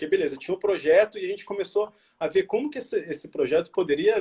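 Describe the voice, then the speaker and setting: Very rapid male speech, normal pitch movement. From Rio de Janeiro, Brazil. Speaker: designer and entrepreneur. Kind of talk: interview answer. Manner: casual, conversational.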